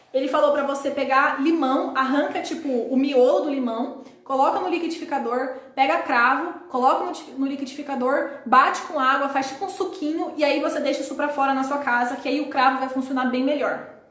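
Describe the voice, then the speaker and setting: Over noticeable background noise, a woman with high pitch talks at a fairly quick pace with hardly any pauses. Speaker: live stream host answering viewer comments. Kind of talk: live stream chat. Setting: live stream from home with laptop. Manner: animated.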